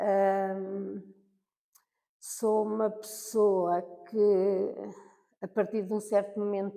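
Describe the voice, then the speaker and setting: A woman speaks at a medium pitch with a dark, mellow tone. Her intonation is monotone and flat, broken by long, frequent pauses. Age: 60s. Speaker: senior university student. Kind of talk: interview. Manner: halting.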